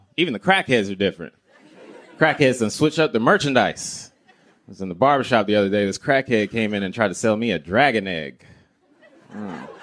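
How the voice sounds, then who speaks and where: A man at a fairly quick pace with a fairly low pitch, lively intonation and big swings in loudness. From US South, Greensboro, North Carolina. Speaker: comedian. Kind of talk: stand-up; casual chat.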